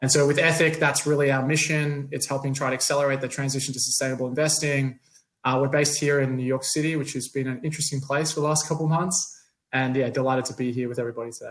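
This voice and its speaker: Talking at a very fast pace, a man with a fairly high pitch sounds somewhat breathy, his intonation monotone and flat. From Australia. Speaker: company CEO, panelist. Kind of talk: panel discussion.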